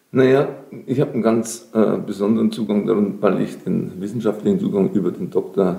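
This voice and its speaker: A man with a dark, mellow tone speaks at a medium pitch. His pace is fairly quick and his intonation lively. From Lower Bavaria, Germany. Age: 50s. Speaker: social entrepreneur and creative coach. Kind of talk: interview.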